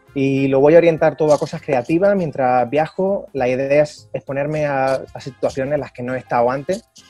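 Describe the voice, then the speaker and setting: Over faint music in the background, a man with a fairly high pitch and ordinary pitch variation speaks at a moderate pace in a dry sound with no echo. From Málaga, Spain. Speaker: traveller and travel vlogger. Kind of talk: interview answer. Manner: casual, hesitant. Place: hall. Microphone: earbuds.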